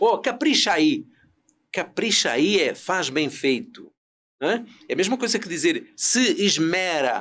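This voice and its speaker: Pitch swings very widely as a man talks with a European Portuguese accent. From Portugal, rural interior. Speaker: business consultant and speaker. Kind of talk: podcast interview.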